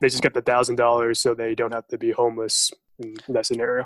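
A man with an American accent talks at a very fast pace and medium pitch. His intonation is fairly even, and the sound is dry and close with no echo. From US. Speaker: podcast host. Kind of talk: casual chat.

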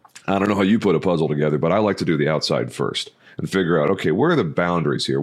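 Vocal fry runs through speech delivered at a very fast pace with ordinary pitch variation. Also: man. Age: 30s. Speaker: insurance agency CEO. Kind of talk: podcast interview. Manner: frequent filler words.

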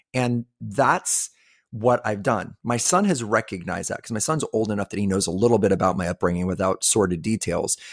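In a normal speaking voice, a man with a fairly low pitch and ordinary pitch variation talks at a fairly quick pace, recorded very cleanly with a silent background and a dry, close sound with no echo. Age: 50s. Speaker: podcast host. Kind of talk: casual chat.

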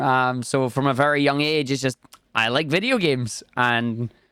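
In a very clean recording with a silent background, a man with a Scottish accent speaks at a fairly high pitch with fairly even intonation. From Scotland. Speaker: video game speedrunner and streamer. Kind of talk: casual interview chat.

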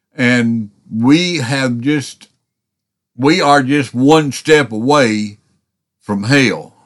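Against a quiet background, a man speaks at medium pitch with ordinary pitch variation. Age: 60s. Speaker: podcast preacher. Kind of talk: sermon. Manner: halting.

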